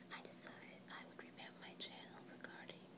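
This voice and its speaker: Loud background noise is present. Over it, a woman talks. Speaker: ASMR channel host. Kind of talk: ASMR whisper preview talking to camera. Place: home room. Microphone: phone near.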